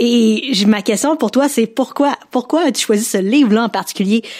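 Her pitch fairly high, a woman keeps to a moderate tempo. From Quebec. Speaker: podcast host. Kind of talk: interview.

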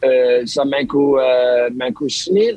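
This is a man with a fairly high-pitched voice. His pitch variation is ordinary. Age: 30s. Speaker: marine biologist. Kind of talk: interview. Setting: phone call. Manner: halting.

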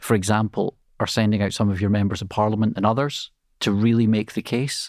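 In a Scottish accent, a man talks at a fairly quick pace and fairly low pitch, on a very clean recording with a silent background and a dry, close sound with no echo. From Scotland. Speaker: international relations professor, former MP. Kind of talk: podcast interview.

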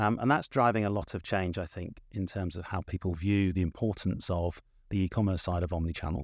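Here a man speaks with an English accent at a fairly quick pace. His pitch is very deep and low, with ordinary variation. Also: quiet background. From southern England. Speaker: corporate marketing executive. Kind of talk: interview conversation.

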